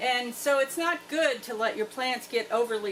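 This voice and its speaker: A woman with a normal speaking voice talks at a moderate pace. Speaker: homestead farmer. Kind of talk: tutorial. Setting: greenhouse. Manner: casual.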